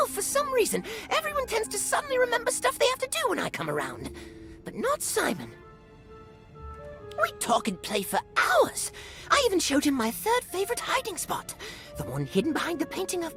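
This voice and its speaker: Someone performs a put-on character voice at a fairly quick pace. Music plays clearly in the background. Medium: game stream. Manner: cheerful, rambling.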